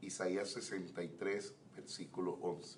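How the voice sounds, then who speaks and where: Very slow, fairly low-pitched male speech amid audible room echo. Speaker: pastor. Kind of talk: Bible teaching class. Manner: slow, measured.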